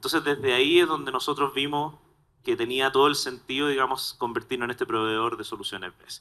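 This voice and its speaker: With a Chilean accent, the voice has a bright, sharp tone, fairly even intonation and a fairly quick pace. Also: man, medium pitch for a man. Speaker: solar storage industry technical lead. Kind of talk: panel discussion.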